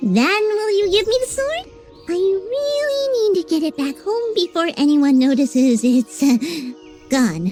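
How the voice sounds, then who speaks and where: A put-on character voice with very wide pitch swings moves at a moderate pace over clear music in the background. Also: female-sounding voice, extremely high pitch for a woman. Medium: machinima. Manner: chatty, nervous, rambling.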